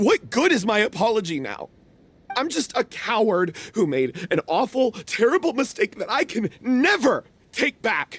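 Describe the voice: The put-on character voice has a fairly bright tone with a slightly husky edge, big pitch swings and a fairly slow pace. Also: man, high pitch for a man.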